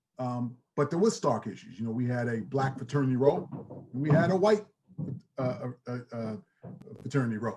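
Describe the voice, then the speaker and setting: A man with a New York accent speaks at a moderate pace and medium pitch, his dark, mellow tone somewhat breathy and his pitch variation ordinary. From New York (Queens, Long Island). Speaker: athletic director, former college football player. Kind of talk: panel discussion. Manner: halting, many fillers.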